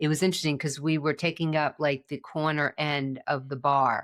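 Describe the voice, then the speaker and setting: A woman talks at a fairly quick pace in a very deep, low voice. The recording is very clean, with a silent background. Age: 60s. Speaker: podcast host, guest on interview. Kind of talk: interview conversation. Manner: halting, many false starts.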